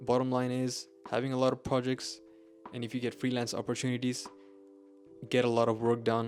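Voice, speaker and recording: Over music in the background, a man mumbles at a fairly quick pace and a medium pitch in a monotone, flat intonation, with long, frequent pauses. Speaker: software engineer and YouTuber. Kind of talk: tutorial. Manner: halting, with self-corrections; mumbling.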